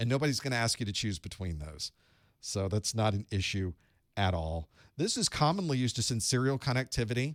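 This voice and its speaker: In a normal speaking voice of medium pitch, a man talks at a fairly quick pace, the sound dry and close with no echo on a very clean recording with a silent background. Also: lively intonation. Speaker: instructor teaching networking. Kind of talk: technical lecture.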